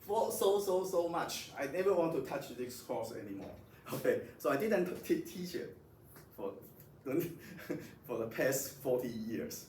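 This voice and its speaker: A man at a fairly slow pace with audible room echo. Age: 60s. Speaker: physics professor. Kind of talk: lecture. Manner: halting, many repetitions.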